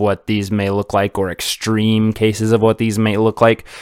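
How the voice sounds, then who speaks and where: This man's voice is fairly low in pitch, with monotone, flat intonation at a moderate pace. The recording is very clean with a silent background and a dry, close sound with no echo. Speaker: podcast host, cannabis grower. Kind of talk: solo educational talk. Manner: hesitant, many fillers and repeats; casual, rambling.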